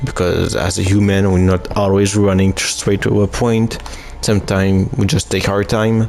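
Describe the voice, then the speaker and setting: A man with a non-native accent speaks in a fairly low pitch at a moderate pace, with fairly even intonation and very even loudness, as music plays in the background. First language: not English. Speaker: gaming youtuber. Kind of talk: let's play commentary. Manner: halting.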